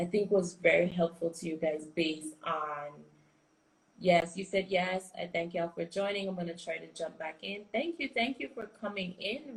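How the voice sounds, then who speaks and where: Somewhat breathy and medium in pitch, a woman with a Caribbean accent speaks at a moderate pace, with ordinary pitch variation and big swings in loudness. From US Virgin Islands. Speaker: business coach. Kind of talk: live stream chat. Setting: Instagram live stream. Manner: animated.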